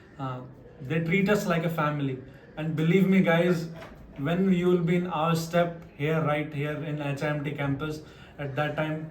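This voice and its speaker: Noticeable background noise and audible room echo surround this man's voice. He speaks at a fairly high pitch with ordinary pitch variation. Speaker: deck cadet, channel host. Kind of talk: interview.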